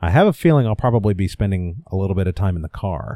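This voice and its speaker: Recorded very cleanly with a silent background and a dry, close sound with no echo, a man speaks at a fairly quick pace in a very deep, low pitch with a dark, mellow tone and ordinary pitch variation. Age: 30s. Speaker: podcaster. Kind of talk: personal monologue. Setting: home recording.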